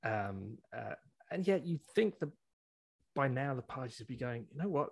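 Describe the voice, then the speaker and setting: Using very wide pitch swings around a medium pitch, a somewhat breathy man speaks at a moderate pace. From outside Canada. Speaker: podcast host. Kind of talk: casual political discussion.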